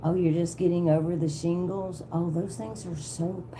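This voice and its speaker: Talking at a fairly slow pace, a woman uses a Southern accent and a fairly low pitch. Audible room echo surrounds her voice. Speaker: tarot reader livestreamer. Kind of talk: casual livestream chat. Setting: live video stream.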